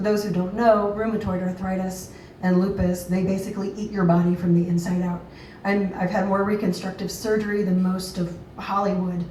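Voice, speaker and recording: With an American accent, a woman talks at a fairly quick pace in a monotone, flat intonation, with audible room echo and noticeable background noise. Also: medium pitch for a woman. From US South, Georgia. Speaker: patient advocate. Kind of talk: public talk at open mic. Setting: open mic with audience.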